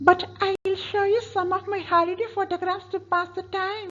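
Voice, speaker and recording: A woman's put-on character voice at an extremely high pitch, flat and monotone, with light background noise. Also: moderate pace. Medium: stage play. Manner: gushing, chatty.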